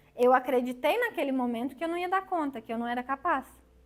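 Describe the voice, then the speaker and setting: Her voice high and her intonation lively, a woman talks at a fairly quick pace. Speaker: psychologist. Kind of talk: lecture.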